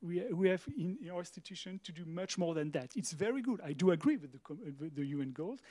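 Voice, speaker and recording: In a French accent, a man speaks at a high pitch and a fairly quick pace, his dark, mellow tone captured dry and close with no echo. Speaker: museum director. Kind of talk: panel discussion. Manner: halting.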